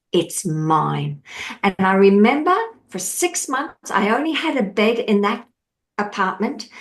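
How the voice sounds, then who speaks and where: With an Australian accent, a woman talks at a fairly slow pace with lively intonation. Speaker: mindset coach. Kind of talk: podcast interview. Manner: animated.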